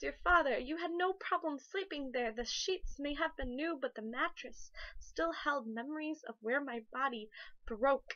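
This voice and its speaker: Her high pitch and lively intonation carry as this woman talks at a moderate pace. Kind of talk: spoken word poetry reading. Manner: emotional.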